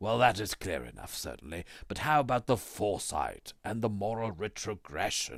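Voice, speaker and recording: Putting on a character voice, a man with a fairly low pitch speaks at a moderate pace with hardly any pauses, lively intonation and big swings in loudness, in a very clean recording with a silent background. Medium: read story. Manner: polite, modest, questioning.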